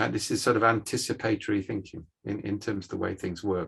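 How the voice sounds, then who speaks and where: Fairly quick speech from a man in a British accent. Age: 60s. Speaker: management scientist. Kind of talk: guest lecture on video call.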